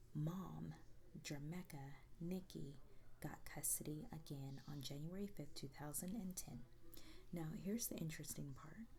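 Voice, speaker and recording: A woman's very deep, low voice, somewhat breathy, with a dark, mellow tone at a moderate pace. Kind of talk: ASMR true crime storytelling while doing makeup. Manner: soft-spoken, not whispered.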